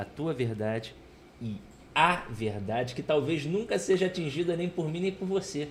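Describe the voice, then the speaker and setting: A man's fairly high, somewhat breathy voice moves at a moderate pace with lively intonation. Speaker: teacher, podcast co-host. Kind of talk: casual chat. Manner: soft-spoken; even, steady tone.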